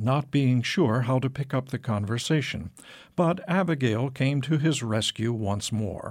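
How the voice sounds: The clip features a natural reading voice.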